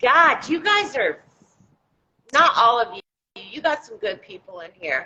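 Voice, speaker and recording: High-pitched woman with an American accent, a raised, projected voice and a bright, sharp tone, fairly slow with long, frequent pauses, very wide pitch swings and big swings in loudness. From Florida (Tampa), born West Virginia. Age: 40s. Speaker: livestream guest. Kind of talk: casual chat.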